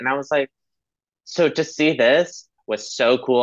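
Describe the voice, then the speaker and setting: Recorded with a dry, close sound and no echo, a man with an unremarkable speaking voice talks at a moderate pace and medium pitch, with ordinary pitch variation. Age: 20s. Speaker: podcast guest, student. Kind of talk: casual chat.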